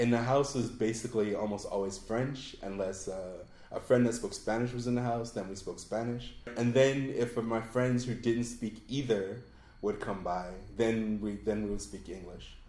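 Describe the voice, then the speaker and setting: A man with an American accent speaks in a dark, mellow tone with fairly even intonation. Room echo is audible. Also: medium pitch for a man, moderate pace. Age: 40s. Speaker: expat. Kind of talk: interview.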